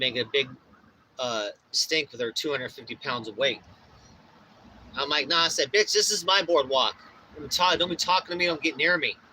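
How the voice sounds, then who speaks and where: Against noticeable background noise, a man with a fairly high pitch and lively intonation speaks at a fairly quick pace, with long, frequent pauses. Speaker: DJ and livestreamer. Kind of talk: casual livestream chat. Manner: loud; animated.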